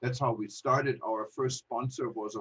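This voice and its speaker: This man talks in a German accent at medium pitch and a moderate pace. His voice is somewhat breathy. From Germany. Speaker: travel news publisher. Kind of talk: online panel talk. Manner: halting, many fillers.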